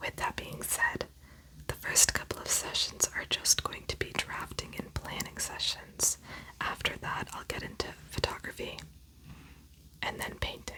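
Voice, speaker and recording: Soft-spoken whispering at a fairly slow pace, broken by long, frequent pauses, sits over noticeable background noise. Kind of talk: ASMR roleplay, whispered portrait artist session. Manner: whispered, soft-spoken; slightly loud whispers.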